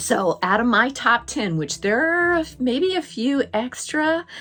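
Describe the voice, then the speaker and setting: A woman speaks with very wide pitch swings over noticeable background noise. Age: 60s. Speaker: Disney collector YouTuber. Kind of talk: casual video talk. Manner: halting, many fillers.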